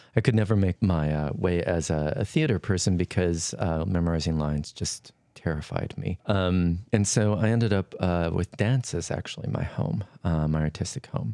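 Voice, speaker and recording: With an American accent and a dark, mellow tone, a man speaks at a very deep, low pitch with hardly any pauses in a very clean recording with a silent background. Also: ordinary pitch variation, moderate pace. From western Montana, Flathead Reservation. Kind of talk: interview.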